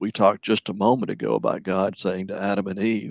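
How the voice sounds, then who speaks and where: In a dry, close sound with no echo and a quiet background, a man talks in an ordinary speaking voice, fairly low in pitch, with ordinary pitch variation. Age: 60s. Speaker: licensed professional counselor. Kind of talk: radio interview.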